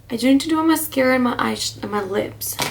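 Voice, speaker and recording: There is noticeable background noise behind a woman's speech. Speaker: beauty vlogger. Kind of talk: casual chat. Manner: whispery soft-spoken. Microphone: quiet, volume turned up.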